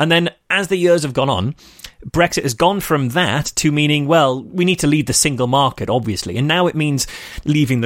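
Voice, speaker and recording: A man in a Merseyside accent, fairly high in pitch, at a moderate pace with ordinary pitch variation. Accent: northern English (Merseyside). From northern England. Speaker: skeptic activist and podcaster. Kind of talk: casual chat. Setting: call.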